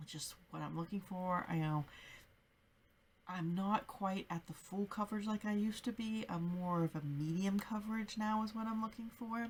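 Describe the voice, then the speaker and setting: Soft-spoken and somewhat breathy, a woman speaks at a moderate pace in a medium-pitched voice with ordinary pitch variation. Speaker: beauty vlogger. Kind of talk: product review.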